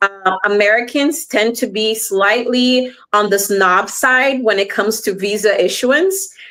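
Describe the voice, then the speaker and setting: Speaking with a Portuguese accent, a woman has a fairly high pitch and a bright, sharp tone, with ordinary pitch variation. Her pace is fairly slow and her loudness very even. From Brazil (Rio de Janeiro). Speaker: immigration lawyer. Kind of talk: panel discussion on live stream. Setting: online live stream.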